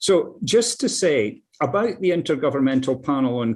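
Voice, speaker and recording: A man with a Scottish accent, against a quiet background. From Scotland, Dundee area. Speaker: climate scientist, professor. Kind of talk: talk. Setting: video call. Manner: halting, repeats words.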